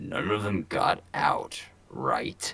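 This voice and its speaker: In a put-on character voice, a man growls his lines. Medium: actual play. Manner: curt, gruff.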